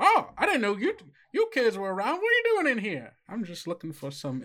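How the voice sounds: A put-on character voice, fairly high in pitch and fairly quick in pace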